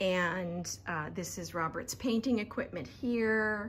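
A woman speaks at a very slow pace. Light background noise sits behind her. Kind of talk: casual vlog chat. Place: garage. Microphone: phone near.

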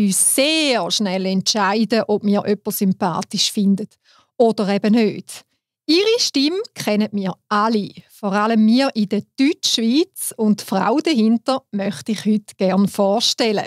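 In a Swiss accent, a woman speaks fairly slowly at a fairly high pitch, the recording very clean with a silent background and a dry, close sound with no echo. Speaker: podcast host.

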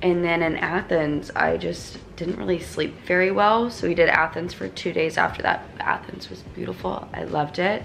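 Light background noise sits under the voice. The pace is moderate, with hardly any pauses. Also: woman. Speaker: vlogger. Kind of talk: casual vlog chat. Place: home room. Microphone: phone near.

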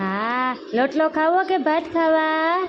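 Against noticeable background noise, a woman speaks at an extremely high pitch with lively intonation. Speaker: family vlogger and mother. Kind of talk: baby talk to infant while vlogging. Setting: at home, windy dusty day.

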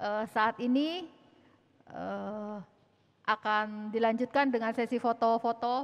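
A woman's ordinary speaking voice, fairly high in pitch and moderate in pace. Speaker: event MC; event announcer, MC. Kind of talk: ceremony emceeing. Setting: church with audience. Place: church.

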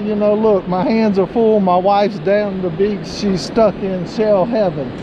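Amid noticeable background noise, this woman's pitch varies in an ordinary way. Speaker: beachcombing vlogger. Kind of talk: casual vlog chat. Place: beach. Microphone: phone near.

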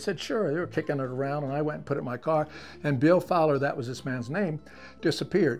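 Faint music plays behind a man whose pitch varies in an ordinary way. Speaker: museum storyteller. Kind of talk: storytelling interview. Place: home room. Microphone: lapel.

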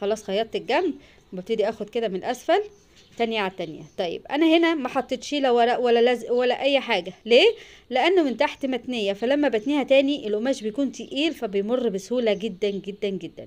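This woman talks at a moderate pace. Her pitch is high, and her intonation is lively. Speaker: sewing channel host. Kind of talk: tutorial. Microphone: phone near.

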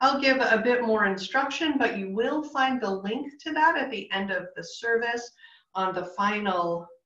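With a bright, sharp tone, a woman talks at a moderate pace in a room with audible echo and a quiet background. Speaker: pastor leading online worship. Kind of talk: worship announcements. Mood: calm, warm, measured. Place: home room. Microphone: video call.

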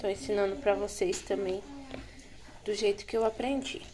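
Noticeable background noise sits under the woman's moderately paced voice, whose pitch varies in an ordinary way. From Brazil. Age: 20s. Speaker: cooking vlogger. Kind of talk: cooking tutorial. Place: kitchen. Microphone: phone near.

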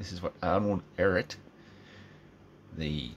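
Against light background noise, a man with a very deep, low voice and vocal fry talks at a moderate pace with ordinary pitch variation. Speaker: vlogger. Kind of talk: casual vlog rant. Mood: opinionated, informal, swearing. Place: home room. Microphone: phone near.

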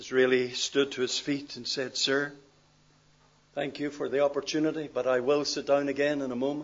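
Monotone and flat in intonation, a man speaks with a Northern Irish accent. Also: moderate pace. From Northern Ireland. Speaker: pastor. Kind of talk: sermon. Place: church. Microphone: podium.

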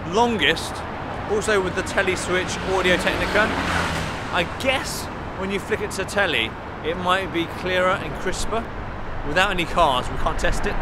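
Over loud background noise, a man speaks at a moderate pace with long, frequent pauses, the sound dry with no echo. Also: ordinary pitch variation. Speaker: tech reviewer. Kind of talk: casual vlog chat. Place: street.

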